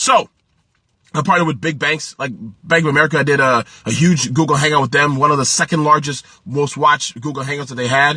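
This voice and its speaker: Very fast and animated, a man speaks at a fairly high pitch. His tone is bright and sharp. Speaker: small business coach and livestreamer. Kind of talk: live stream talk to viewers. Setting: live video stream. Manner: hurried.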